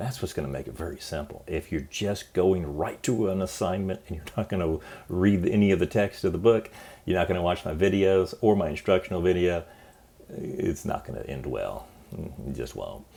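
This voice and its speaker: This man's voice sits very deep and low, with vocal fry, a dark, mellow tone and ordinary pitch variation. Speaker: college business professor. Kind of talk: course orientation lecture. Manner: fast; casual, encouraging.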